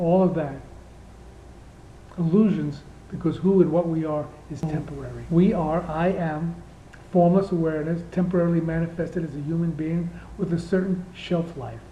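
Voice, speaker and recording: In a room with audible echo, a man with a high pitch talks at a moderate pace in a monotone, flat intonation, with long, frequent pauses. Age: 60s. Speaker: spiritual teacher. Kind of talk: spiritual talk. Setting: indoor room.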